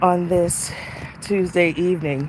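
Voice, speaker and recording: There is noticeable background noise behind a man's voice. He speaks in a fairly high pitch with fairly even intonation. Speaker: life coach and podcast host. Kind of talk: casual livestream talk. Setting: outdoors in a park, live video.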